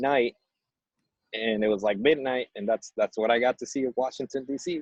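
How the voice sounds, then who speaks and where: A man with fairly even intonation. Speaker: activist. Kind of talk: panel discussion. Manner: hesitant, filler-heavy.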